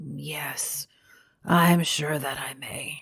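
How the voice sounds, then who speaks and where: This is a put-on character voice with a raspy edge. It sits at a middle pitch. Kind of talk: Victorian ghost story reading. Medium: read story. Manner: low, guarded, intently watchful.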